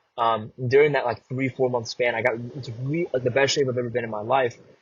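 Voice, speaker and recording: A man talks at a very fast pace in a medium pitch. His voice is somewhat breathy, with fairly even intonation. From US Midwest, Chicago (born in Vietnam, moved at 3). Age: 20s. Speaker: actor and content creator. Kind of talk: podcast interview.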